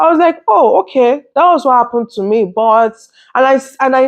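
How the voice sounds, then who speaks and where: Her voice is high-pitched, with lively intonation. The woman keeps a moderate pace. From Nigeria. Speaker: vlogger. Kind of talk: casual vlog commentary. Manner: hesitant, many fillers.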